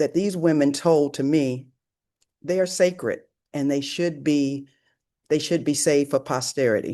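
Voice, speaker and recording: A woman's very deep, low voice with a dark, mellow tone, ordinary pitch variation, a moderate pace and long, frequent pauses, over a quiet background. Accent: American. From US South, rural Alabama. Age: 70s. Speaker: author and storyteller. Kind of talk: talk presentation.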